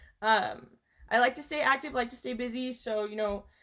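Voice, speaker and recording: Speaking at a moderate pace with ordinary pitch variation, a woman uses a normal speaking voice in an American accent. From Colorado, US (Pueblo). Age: 20s. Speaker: online student. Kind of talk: class introduction video. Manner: casual, with many fillers.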